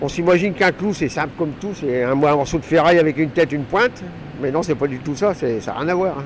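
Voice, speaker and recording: Talking at a very fast pace over noticeable background noise, a man uses a fairly high pitch with ordinary pitch variation. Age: 60s. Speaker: retired factory worker and trainer. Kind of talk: interview. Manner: casual, halting.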